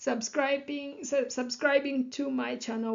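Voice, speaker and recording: This is a woman speaking with a Kenyan accent. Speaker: psychology educator and life coach. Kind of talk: lecture. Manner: many fillers (you know, um).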